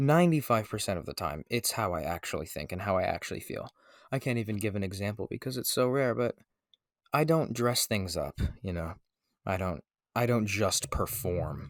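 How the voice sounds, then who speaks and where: A man with a fairly low pitch and vocal fry talks at a moderate pace, his pitch swinging very widely. The recording is very clean and silent in the background, with a dry, close sound and no echo. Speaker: podcast host. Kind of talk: unscripted solo podcast monologue. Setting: makeshift home recording room. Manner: hesitant, many fillers.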